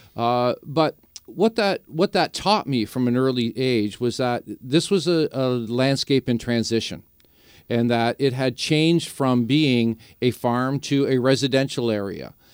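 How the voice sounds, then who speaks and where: A man with a Canadian accent speaks in an ordinary speaking voice at a fairly slow pace, with ordinary pitch variation and very even loudness, recorded very cleanly with a silent background and a dry, close sound with no echo. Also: medium pitch for a man. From Niagara region, Ontario, Canada. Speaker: native plant grower. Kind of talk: radio interview.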